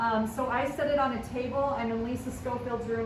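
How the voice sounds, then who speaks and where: A loud voice at a fairly quick pace, with audible room echo and noticeable background noise. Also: woman. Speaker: teacher giving tech training to colleagues. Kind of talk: tutorial. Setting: classroom.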